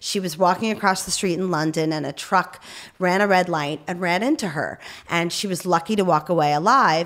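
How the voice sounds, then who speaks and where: A woman speaks at a fairly quick pace with a fairly low pitch and ordinary pitch variation. Noticeable background noise runs underneath. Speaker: Paralympic athlete and amputee. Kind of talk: interview. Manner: frequent fillers (um).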